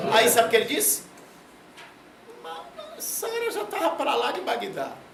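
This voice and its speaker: Delivered at a fairly slow pace, the voice has an animated tone over noticeable background noise. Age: 60s. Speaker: professor. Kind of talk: lecture.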